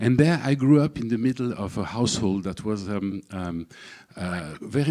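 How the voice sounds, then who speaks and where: A man with a fairly low pitch, a dark, mellow tone, lively intonation, a moderate pace and a French accent. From southern France, Camargue. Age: 60s. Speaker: speaker at a public event. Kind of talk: personal talk to an audience. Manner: halting, many fillers and repetitions.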